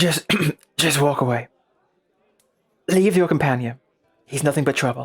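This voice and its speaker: Putting on a gravelly character voice, a man speaks at fairly high pitch and moderate pace with long, frequent pauses. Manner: menacing, warning.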